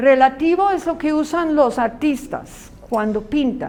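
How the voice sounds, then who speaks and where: Here a woman talks at a fairly slow pace. Her pitch is high. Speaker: Bible school teacher. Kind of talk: lecture.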